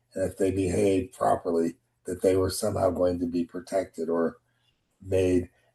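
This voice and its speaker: Speaking at a moderate pace, a man with a very deep, low voice sounds somewhat breathy and has a dark, mellow tone. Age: 60s. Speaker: discussion participant. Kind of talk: group discussion.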